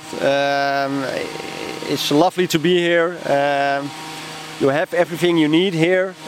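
Amid noticeable background noise, a man with a Dutch accent talks at a fairly slow pace in a fairly high pitch, with fairly even intonation, very even loudness and long, frequent pauses. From Netherlands, Amsterdam. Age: 40s. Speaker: newspaper publisher and landlord. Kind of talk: casual interview. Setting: outdoors on a public bench. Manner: hesitant, many fillers.

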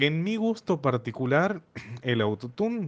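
A man speaks at a very slow pace. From Argentina, Santiago del Estero. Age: 30s. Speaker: music teacher. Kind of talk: casual discussion.

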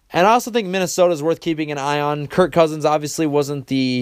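An ordinary speaking voice from a man, at a fairly quick pace with ordinary pitch variation. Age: 20s. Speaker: sports podcast host. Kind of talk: solo sports commentary.

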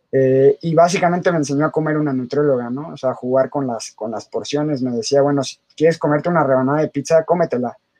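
This man has a fairly high pitch and a dark, mellow tone. He talks very fast with fairly even intonation and hardly any pauses. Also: dry, close sound with no echo. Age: 30s. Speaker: fitness coach. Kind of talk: casual interview chat.

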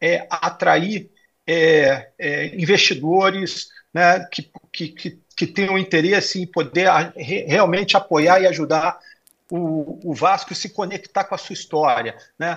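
Against a quiet background, a high-pitched man talks at a fairly slow pace, his pitch varying in an ordinary way and his loudness swinging widely. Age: 50s. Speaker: corporate executive. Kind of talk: interview. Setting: remote video call. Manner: halting, many fillers.

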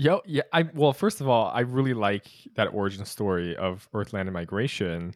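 A plain, everyday voice keeps a moderate pace on a very clean recording with a silent background. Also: man, medium pitch for a man, dry, close sound with no echo. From California, US; born in Utah. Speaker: student podcast host. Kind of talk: interview conversation. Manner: casual, laughs often.

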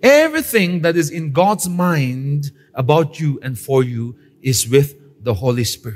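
Somewhat breathy and fairly high-pitched, a man talks at a fairly slow pace with lively intonation. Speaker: pastor. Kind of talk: Pentecostal-style church sermon, teaching and exhorting a live congregation. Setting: church service with live congregation. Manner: direct, conversational asides to the audience; emphatic preaching cadence with repeated phrases and call-and-response prompts.

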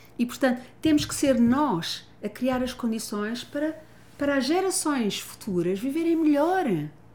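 Audible room echo carries a woman's high voice. She moves at a fairly slow pace with very wide pitch swings. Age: 60s. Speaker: family constellation therapist and author. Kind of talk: casual chat. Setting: gym.

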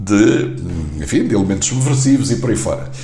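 Amid noticeable background noise and audible room echo, a man talks with very wide swings in pitch. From Angola (Luanda). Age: 60s. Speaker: journalist and poet. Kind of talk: casual interview.

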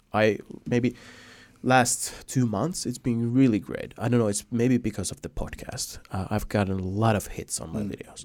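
In a Finnish accent, a man speaks at a moderate pace. His pitch is medium with ordinary variation. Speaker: podcast host. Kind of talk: casual interview chat.

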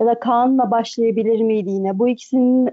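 The speaker is a woman with a fairly high voice. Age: 20s. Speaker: football commentator. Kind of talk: casual chat. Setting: podcast recording.

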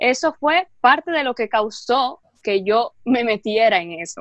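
A woman speaks at a high pitch and a very slow pace with lively intonation. The recording is very clean with a silent background, and the sound is dry and close with no echo. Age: 20s. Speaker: health food content creator. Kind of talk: casual interview.

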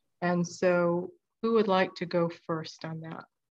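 Very slow, monotone, flat speech from a woman with an American accent. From US Midwest. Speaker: podcast host. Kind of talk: interview.

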